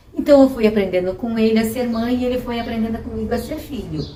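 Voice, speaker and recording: A woman is speaking in a space with audible room echo. Noticeable background noise can be heard too. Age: 60s. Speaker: mother interviewed about motherhood. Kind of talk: personal testimony.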